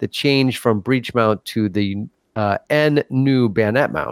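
Speaking fairly slowly with a normal speaking voice, a man keeps a medium pitch and ordinary pitch variation in a dry, close sound with no echo. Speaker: co-host. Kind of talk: casual chat.

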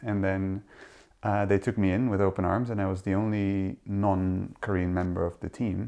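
Against a quiet background, a man with a Dutch accent speaks at a moderate pace in a dark, mellow tone with monotone, flat intonation. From Netherlands. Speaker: literary translator. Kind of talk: interview conversation. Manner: halting.

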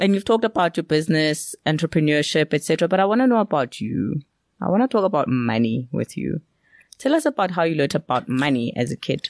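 The speech is very fast with very wide pitch swings, recorded with a dry, close sound and no echo against a quiet background. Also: woman, very deep, low pitch for a woman. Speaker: podcast host. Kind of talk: casual interview chat.

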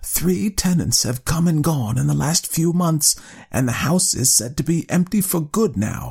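Using a put-on character voice, a man speaks fairly slowly at a fairly high pitch, with vocal fry, a slightly husky edge and a slightly mellow tone. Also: lively intonation.

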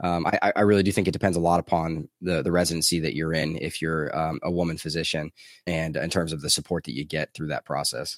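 A very deep, low-pitched man's voice with an American accent, very fast with hardly any pauses, fairly even in intonation, in a very clean recording with a silent background and a dry, close sound with no echo. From US South. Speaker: anesthesiologist and finance blogger. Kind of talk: interview.

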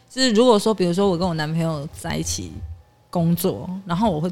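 Speaking at a fairly quick pace, a woman uses lively intonation and a fairly low pitch. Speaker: office worker. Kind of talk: casual chat.

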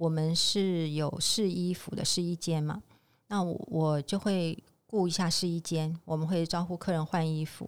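Her voice fairly low and her intonation monotone and flat, a woman speaks at a fairly slow pace. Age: 50s. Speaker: insurance agent and part-time store clerk. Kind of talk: interview.

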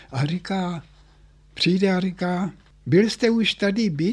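A man speaks very slowly at a high pitch with ordinary pitch variation. The recording is very clean with a silent background. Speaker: former scout leader and political prisoner. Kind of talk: oral history interview.

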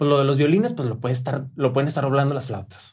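The man's voice is somewhat breathy. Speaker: musical director. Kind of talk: casual chat. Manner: halting, many repeated words.

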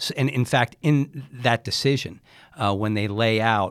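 A man with an American accent speaks at a medium pitch with ordinary pitch variation, in an unremarkable speaking voice. The recording is very clean and dry, close with no echo, over a silent background. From Long Island, New York. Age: 50s. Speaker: city attorney. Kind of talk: interview.

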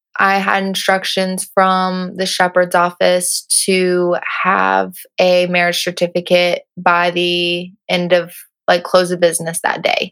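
A woman's fairly low voice, monotone and flat in intonation, at a very slow pace. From Arkansas. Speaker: former university student. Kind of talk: personal testimony interview.

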